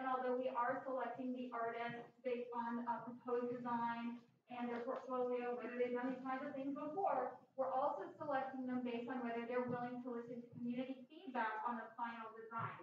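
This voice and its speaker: With strong room echo and light background noise, a woman talks fairly quickly in a high-pitched voice with monotone, flat intonation. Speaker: arts organizer. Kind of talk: event announcements. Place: hall.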